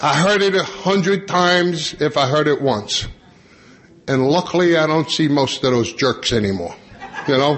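Over noticeable background noise, a man with an American accent speaks at a moderate pace in a fairly high pitch, with lively intonation and very even loudness. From New York, Long Island. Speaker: AA convention speaker. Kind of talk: conference talk to audience.

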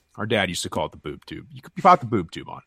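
Vocal fry colors a man's speech as his pitch swings very widely. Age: 30s. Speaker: podcast co-host. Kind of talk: casual chat.

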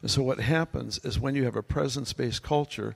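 A man talks with vocal fry. His pitch varies in an ordinary way. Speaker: pastor. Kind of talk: panel discussion. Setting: stage with audience. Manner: humorous.

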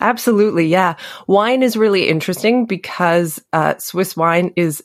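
A woman's fairly low-pitched, normal speaking voice with a Canadian accent and ordinary pitch variation, dry and close with no echo, in a very clean recording over a silent background. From Canada. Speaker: pastry chef and cookbook author. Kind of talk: casual interview.

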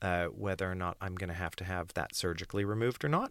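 A man talks with a very deep, low pitch. The recording is very clean, with a silent background. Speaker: voice coach and rehabilitation specialist. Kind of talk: casual interview chat about vocal injury. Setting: small podcast booth, in person.

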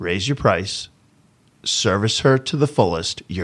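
A man speaks with ordinary pitch variation on a very clean recording with a silent background. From Boston, US. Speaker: flooring business owner. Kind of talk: interview.

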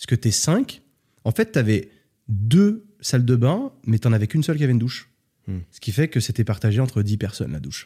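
In a dry, close sound with no echo, a man with a dark, mellow, somewhat breathy voice at medium pitch talks at a fairly quick pace with lively intonation and big swings in loudness. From France. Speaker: entrepreneur and traveler. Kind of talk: casual interview.

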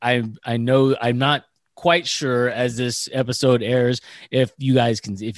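A man with an American accent at medium pitch and fairly slow pace, dry and close with no echo, against a quiet background. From Northern California. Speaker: podcast co-host, military veteran. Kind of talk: casual chat.

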